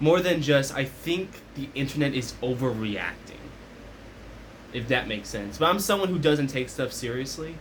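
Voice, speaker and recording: At a moderate pace, a man with a fairly high voice speaks amid audible room echo. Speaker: commentary vlogger. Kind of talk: casual rant. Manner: loud.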